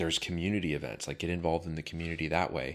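A man with an American accent speaks at a very deep, low pitch. The recording is very clean, with a silent background. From California, US. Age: 30s. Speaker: real estate entrepreneur, former firefighter. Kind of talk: casual interview.

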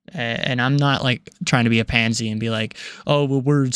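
In an ordinary speaking voice, a man of medium pitch talks at a moderate pace with fairly even intonation. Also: very clean recording, silent background. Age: young. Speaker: podcast host. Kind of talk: personal monologue. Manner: casual, with frequent filler words.

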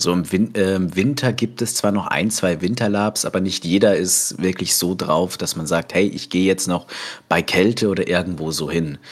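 This man's pitch is very deep and low, with ordinary variation in it. The background is silent and the recording very clean. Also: moderate pace. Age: 20s. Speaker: cook and role-play gamer. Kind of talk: casual interview. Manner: hesitant, many fillers.

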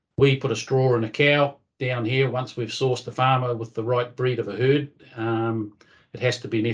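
A man with a New Zealand accent, monotone and flat in intonation, at a moderate pace against a quiet background. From New Zealand, North Island. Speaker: livestock breeding coordinator, former dairy farmer. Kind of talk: interview.

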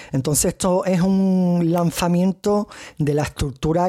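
Here a man with a strong Andalusian accent talks at a fairly slow pace in a dark, mellow tone. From Andalusia, Cádiz province, Spain. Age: 30s. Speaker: podcast host, kidney patient. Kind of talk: solo podcast monologue. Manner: halting.

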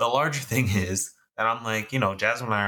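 Speaking fairly quickly, this is an ordinary speaking voice with an American accent and ordinary pitch variation. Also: man. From Texas. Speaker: podcast co-host. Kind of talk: casual chat.

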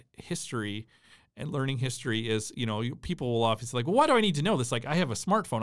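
A man with an American accent at a medium pitch and very fast pace, ordinary pitch variation, in a very clean recording with a silent background. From US Midwest, southern Minnesota. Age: 40s. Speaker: history professor. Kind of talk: casual conversational interview.

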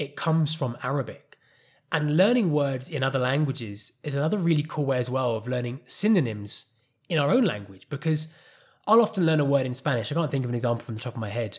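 A man's very fast, somewhat breathy speech, fairly high in pitch, with lively intonation. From England. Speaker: podcast host and life coach. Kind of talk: solo podcast monologue.

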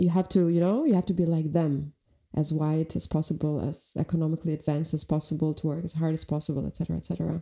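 A woman talks at a very fast pace with a very deep, low pitch. Her tone is dark and mellow, her intonation monotone and flat. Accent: Albanian. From Albania (Elbasan, raised in Tirana). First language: Albanian. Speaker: artist and filmmaker. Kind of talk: casual podcast conversation.

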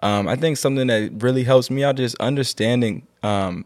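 Here a man with an American accent uses a normal speaking voice, ordinary pitch variation and a fairly quick pace. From Virginia, Lynchburg. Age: 20s. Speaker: photographer and entrepreneur. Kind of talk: casual chat.

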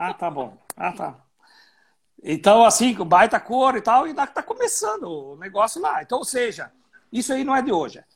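A man with a southern Brazilian accent, an extremely high pitch and very wide pitch swings, at a moderate pace. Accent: gaúcho Brazilian Portuguese. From Rio Grande do Sul, Brazil (Serra Gaúcha). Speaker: winemaker. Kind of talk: casual chat.

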